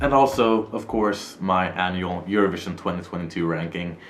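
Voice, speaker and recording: A man with a fairly low voice is heard through audible room echo and noticeable background noise. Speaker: YouTuber. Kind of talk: casual vlog. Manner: fast.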